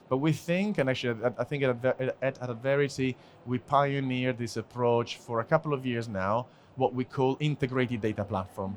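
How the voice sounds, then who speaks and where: This man talks at a fairly quick pace in a medium pitch. His pitch varies in an ordinary way. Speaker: conference speaker, business development executive. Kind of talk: conference talk. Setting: stage with audience. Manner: fast; halting with fillers and repetitions.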